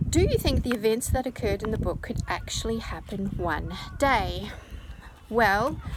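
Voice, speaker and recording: Noticeable background noise sits behind a woman with a New Zealand accent. She speaks at a moderate pace. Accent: New Zealand accent, self-described as funny. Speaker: children's author. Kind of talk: Q&A video for school pupils. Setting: outdoors on the coast. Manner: speaking louder over wind.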